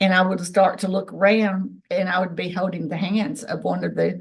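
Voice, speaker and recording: Moderately paced female speech, medium in pitch, with vocal fry and fairly even intonation. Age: 60s. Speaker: ufologist and contactee. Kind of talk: testimony.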